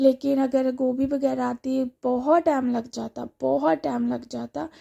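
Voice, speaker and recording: In a dry, close recording with no echo, a woman speaks at a very slow pace. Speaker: vlogger. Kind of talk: casual vlog narration.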